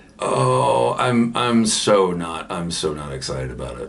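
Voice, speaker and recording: A man with an American accent, with audible room echo. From US South, Georgia. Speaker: pipe-smoking YouTuber. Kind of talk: casual vlog, reading and answering comments. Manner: hesitant, many repeated words.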